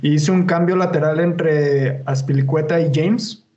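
Audible room echo surrounds a man whose pitch sits fairly high. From Mexico, Chihuahua. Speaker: podcast host. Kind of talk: casual chat.

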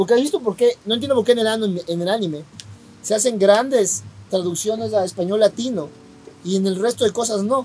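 A man with a high voice speaks at a fairly quick pace, his pitch rising and falling in an ordinary way. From Ecuador. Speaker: podcast co-host. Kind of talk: casual chat.

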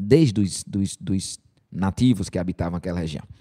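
This man has a northeastern Brazilian accent. The sound is dry and close, with no echo. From Brazil, Rio Grande do Norte (Caicó). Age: 40s. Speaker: preacher. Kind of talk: sermon.

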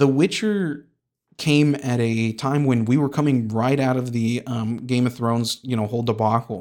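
On a very clean recording with a silent background, a man speaks in a plain, everyday voice at a medium pitch and a moderate pace. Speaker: podcast host. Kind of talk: solo podcast monologue, casual. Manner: deadpan, self-deprecating.

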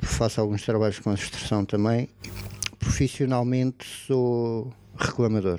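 With noticeable background noise around him, a man talks at a fairly slow pace, keeping his intonation fairly even and his loudness very even. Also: medium pitch for a man. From Portugal, Algarve (Portimão). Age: 30s. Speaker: podcast co-host. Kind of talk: casual chat.

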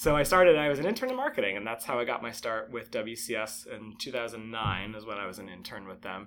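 A man with a plain, everyday voice talks at a fairly quick pace with hardly any pauses. His pitch is medium with ordinary variation, and his loudness swings widely. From Connecticut (Bridgeport, Trumbull). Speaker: zookeeper. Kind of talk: interview. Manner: casual, with frequent fillers.

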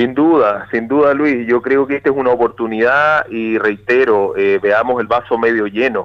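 A man with a plain, everyday voice, a moderate pace, and fairly even intonation. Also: medium pitch for a man, hardly any pauses, very even loudness. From southern Chile, Río Bueno. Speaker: regional government official. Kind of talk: radio interview. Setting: phone call. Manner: formal.

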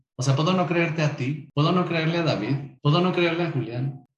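Somewhat breathy, a man speaks in a fairly high pitch with fairly even intonation. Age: 30s. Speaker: LGBT association activist. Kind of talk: interview.

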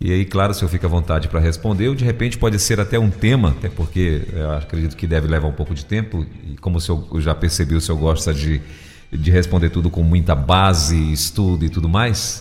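Over noticeable background noise, a man with a very deep, low pitch speaks at a fairly quick pace with ordinary pitch variation. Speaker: radio host. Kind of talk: radio talk show.

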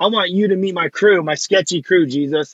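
Speaking at a moderate pace with ordinary pitch variation, a man talks in a Californian accent. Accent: Californian American. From US West Coast, Los Angeles. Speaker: youth minister. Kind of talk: testimony; casual chat. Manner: casual, filler-heavy.

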